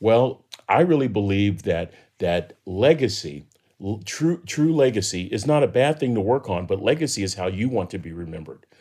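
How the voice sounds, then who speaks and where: A man's fairly low voice with an American accent, dark and mellow in tone, at a moderate pace with very wide pitch swings. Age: 60s. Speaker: professor and motivational speaker. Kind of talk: interview conversation.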